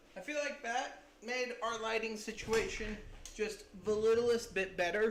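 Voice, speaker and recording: The speech moves at a fairly slow pace, with noticeable background noise present. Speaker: miniature painting streamer. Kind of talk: live stream painting tutorial. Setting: live stream. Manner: soft-spoken, lowered voice; calm, relaxed.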